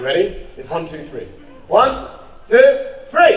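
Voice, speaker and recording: A man with an English accent speaks in an energetic tone. Audible room echo and noticeable background noise fill the recording. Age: 40s. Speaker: clown and charity founder. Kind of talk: conference speech. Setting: stage with audience. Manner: fast; energetic, loud.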